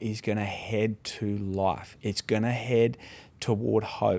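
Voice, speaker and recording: A dark, mellow tone comes through at a very slow pace with monotone, flat intonation. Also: man. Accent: Australian. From Australia. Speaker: pastor. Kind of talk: casual chat. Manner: halting.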